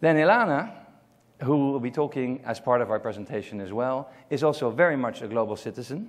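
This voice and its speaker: A man speaks at a fairly quick pace with a Dutch accent. His pitch varies in an ordinary way. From Netherlands. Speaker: global marketing consultant. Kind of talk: conference presentation. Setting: stage with audience.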